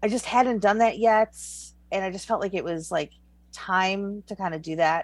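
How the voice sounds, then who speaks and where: In a very clean recording with a silent background, a woman with an ordinary speaking voice talks at a medium pitch with ordinary pitch variation. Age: 40s. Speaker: author. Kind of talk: casual chat.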